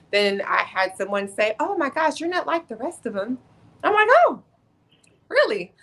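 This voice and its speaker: A woman speaks loudly with an animated tone. Her pitch swings very widely. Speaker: Air Force senior enlisted leader. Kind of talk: podcast interview.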